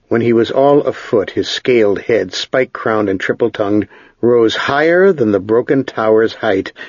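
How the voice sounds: The clip carries a natural reading voice. Pitch rises and falls by an ordinary amount.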